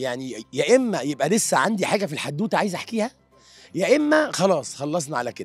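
A man's high-pitched voice with very wide pitch swings at a fairly quick pace, dry with no echo, faint music in the background. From Egypt. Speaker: screenwriter. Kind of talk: interview answer. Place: hall. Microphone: handheld.

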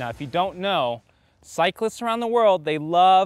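With music in the background, a man speaks with lively intonation in a dry sound with no echo. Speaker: bike shop video host. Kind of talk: product review presentation. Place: open country.

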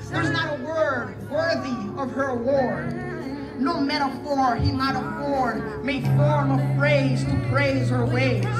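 Loud background noise fills the clip. A man speaks at a very slow pace. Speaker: spoken word poet. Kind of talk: spoken word poetry performance at a wedding.

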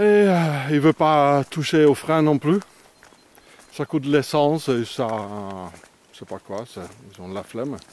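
Very slow speech from a man, fairly high in pitch with very wide pitch swings. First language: not French (speaking French). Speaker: vagabond vlogger. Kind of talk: outdoor video diary. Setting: outdoors. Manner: halting.

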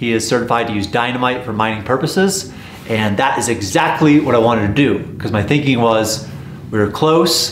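Light background noise and audible room echo accompany a man speaking at a moderate pace with ordinary pitch variation. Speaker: vlogger exploring old mines. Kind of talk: casual vlog chat. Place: shop.

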